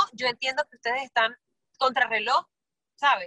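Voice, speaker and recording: A woman's high, raised and projected voice, bright and sharp in tone, with ordinary pitch variation and a dry, close sound with no echo. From Venezuela, San Cristóbal. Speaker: singer and musical theatre actress. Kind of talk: casual interview.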